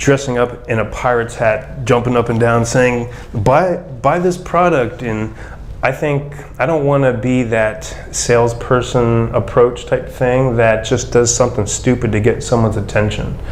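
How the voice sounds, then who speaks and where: A man with a medium-pitched voice talks at a moderate pace, with audible room echo and noticeable background noise. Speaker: physical therapist, clinic owner. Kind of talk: interview answering a student's questions. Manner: monotone.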